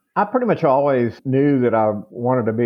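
A man speaks in a Texan accent. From Texas, Amarillo. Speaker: author and historian. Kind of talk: interview.

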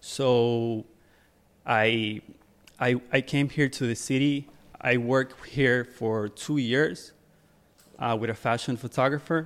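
With long, frequent pauses, a man talks at a very slow pace and with fairly even intonation. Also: medium pitch for a man. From Ecuador, moved to New Jersey at 14. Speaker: fashion photographer and music video director. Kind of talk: casual interview. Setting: studio.

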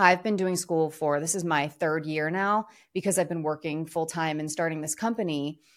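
At a moderate pace, a woman with an American accent speaks on a very clean recording with a silent background. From Philadelphia, US. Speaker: former TV journalist, podcast co-host. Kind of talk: casual chat. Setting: studio.

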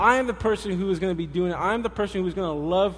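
An animated man talks in a high voice with ordinary pitch variation. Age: 20s. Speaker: pastor. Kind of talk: sermon. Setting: church.

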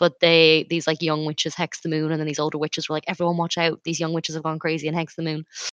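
In an Irish accent, a woman speaks at a very fast pace with hardly any pauses, her very deep, low voice held in a flat monotone, the sound dry and close with no echo and a quiet background. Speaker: podcast co-host. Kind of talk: casual chat.

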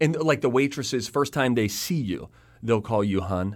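At a fairly quick pace, a man uses a normal speaking voice pitched in the medium range. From Pittsburgh, Pennsylvania. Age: 30s. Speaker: TV and radio host. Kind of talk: casual chat.

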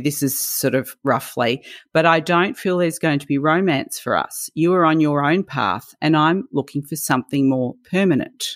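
In an Australian accent, a woman speaks fairly slowly with a very deep, low pitch and lively intonation. The recording is very clean and dry, close with no echo, over a silent background. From Melbourne, Australia. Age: 60s. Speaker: podcast co-host. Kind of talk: casual chat.

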